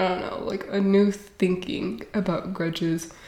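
There is audible room echo around this woman's dark, mellow tone and fairly even intonation. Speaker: podcast host. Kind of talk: casual monologue. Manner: hesitant with fillers.

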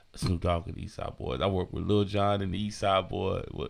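A man with an American accent and an unremarkable speaking voice, fairly low in pitch and fairly even in intonation, against a quiet background. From San Francisco, California. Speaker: DJ and podcast host. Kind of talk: casual solo monologue. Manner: laid-back, many fillers.

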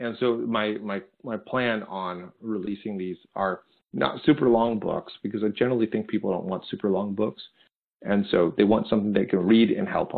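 In an unremarkable speaking voice, a man talks at a moderate pace with a fairly low pitch and fairly even intonation. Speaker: speaker and leadership coach. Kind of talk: interview conversation.

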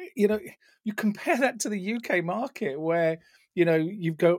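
A man with a British accent talks at a moderate pace, the sound dry and close with no echo. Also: very clean recording, silent background. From England. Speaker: retail tech executive and author. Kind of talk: casual interview chat.

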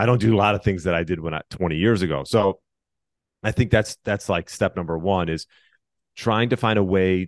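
Recorded dry and close with no echo in a quiet background, a man speaks with a very deep, low pitch. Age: 40s. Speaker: personal trainer and fitness podcast host. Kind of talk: interview conversation. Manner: halting, many fillers.

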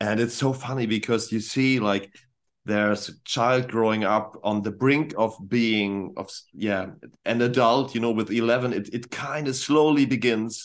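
A man at a moderate pace and medium pitch, with a German accent, fairly even intonation and a quiet background. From northern Germany. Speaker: rock band vocalist and producer. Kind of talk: casual interview chat.

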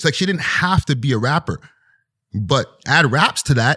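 A man's bright, sharp voice with vocal fry and very wide pitch swings, dry and close with no echo, on a very clean recording with a silent background. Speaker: hip-hop media personality and podcaster. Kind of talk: casual interview chat. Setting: studio.

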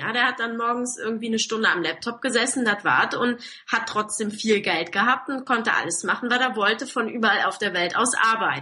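Fairly high in pitch with typical variation, the woman talks fairly briskly amid clearly audible background noise. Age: 20s. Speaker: online marketing entrepreneur. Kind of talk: interview.

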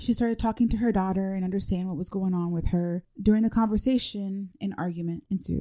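Speaking at a fairly quick pace with hardly any pauses, a woman with an American accent has a medium pitch, a dark, mellow tone and fairly even intonation. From New Jersey. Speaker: true crime podcast co-host. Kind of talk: casual chat and story narration.

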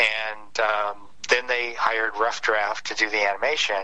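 A man speaks at a moderate pace in a fairly low voice with a Midwestern American accent. Noticeable background noise runs behind him. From Detroit area, Michigan. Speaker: comic book artist. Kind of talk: interview. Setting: phone call.

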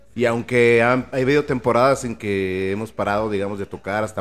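With music in the background, a man talks at a fairly low pitch with ordinary pitch variation. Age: 40s. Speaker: reggae band vocalist. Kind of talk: interview. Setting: live broadcast from a record store.

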